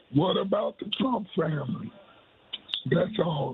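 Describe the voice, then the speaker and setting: A man's high pitch at a fairly slow pace against noticeable background noise. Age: 70s. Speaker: caller. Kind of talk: call-in opinion.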